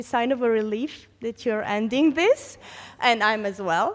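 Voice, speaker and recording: A woman speaks with a Serbian accent. Her fairly high voice moves at a moderate pace. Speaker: conference panelist, heritage network coordinator. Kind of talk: conference reflection speech. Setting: conference hall with audience. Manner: halting, many fillers.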